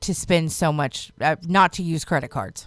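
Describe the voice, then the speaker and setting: This woman has an ordinary speaking voice, fairly low in pitch, with ordinary pitch variation. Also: dry, close sound with no echo. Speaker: radio morning show co-host. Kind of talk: radio morning show banter and call-in game.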